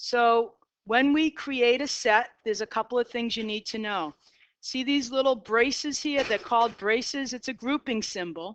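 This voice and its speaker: A woman with a Boston accent and high pitch, at a moderate pace with ordinary pitch variation, in a dry, close sound with no echo over a quiet background. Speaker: math teacher. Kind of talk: lecture. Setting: classroom.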